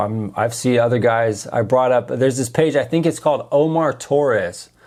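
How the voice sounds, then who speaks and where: A man speaks in an American accent. His pace is moderate, with ordinary pitch variation. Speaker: podcast host and social media creator. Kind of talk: live stream chat. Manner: casual, halting with many fillers.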